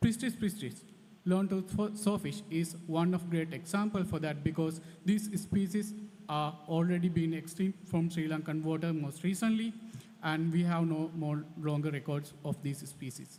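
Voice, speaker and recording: Over noticeable background noise and audible room echo, the speech moves at a moderate pace with ordinary pitch variation. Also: man, high pitch for a man. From Sri Lanka. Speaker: conservation scientist. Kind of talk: conference talk. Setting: conference hall with audience. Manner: halting.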